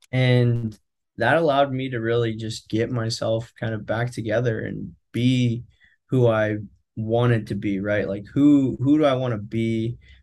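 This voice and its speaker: With an American accent, a man speaks in a normal speaking voice at a medium pitch. His pace is fairly slow and his intonation fairly even. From California, Central Valley. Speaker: product manager. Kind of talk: casual interview.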